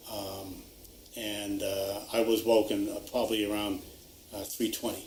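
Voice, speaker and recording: A man's fairly low, monotone voice with flat intonation, at a fairly slow pace amid audible room echo. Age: 60s. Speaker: retired resident affected by wind turbines. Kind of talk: interview. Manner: halting, many fillers.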